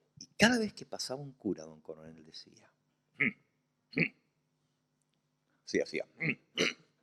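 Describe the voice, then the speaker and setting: A man at a very slow pace, with long, frequent pauses and big swings in loudness, in a dry, close sound with no echo. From Argentina, Santa Fe. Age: 60s. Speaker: pastor. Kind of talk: sermon.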